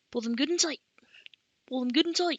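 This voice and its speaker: At a fairly quick pace, a woman performs a put-on character voice at a high pitch. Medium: read story. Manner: folksy, teasing.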